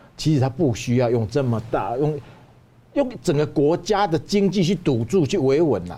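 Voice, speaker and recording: At a moderate pace, a man with a fairly high, somewhat breathy voice and a dark, mellow tone speaks with very wide pitch swings. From Taiwan. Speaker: Taiwanese businessman. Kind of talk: analytical discussion. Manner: emphatic, repeats words.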